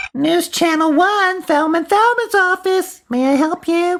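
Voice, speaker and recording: A woman puts on a whiny, squeaky character voice pitched extremely high. She talks at a moderate pace with ordinary pitch variation and very even loudness. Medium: stage play.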